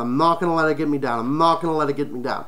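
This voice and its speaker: A bright, sharp tone comes through as a man speaks. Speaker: furry talk show host. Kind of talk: solo livestream talk. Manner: stutters.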